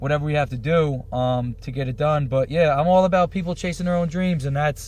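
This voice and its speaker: Somewhat breathy and fairly high-pitched, a man talks at a very fast pace. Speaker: entrepreneur, clothing company owner. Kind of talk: casual chat. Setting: studio. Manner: fast, jumping between topics.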